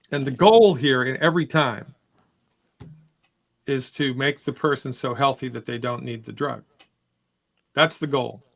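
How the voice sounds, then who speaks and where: At a moderate pace, a man speaks at a medium pitch with vocal fry, ordinary pitch variation, big swings in loudness, and long, frequent pauses. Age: 60s. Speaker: naturopathic doctor answering health questions. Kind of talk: call-in health Q&A. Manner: casual, repetitive restarts.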